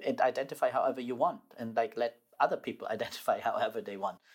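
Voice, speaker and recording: Speaking at a very fast pace, a man talks with a German accent. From southern Germany. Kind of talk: personal storytelling interview.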